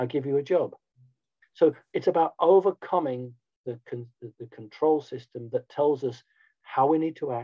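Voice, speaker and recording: A man speaks with a British accent. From Britain. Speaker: spiritual movement founder. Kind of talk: interview.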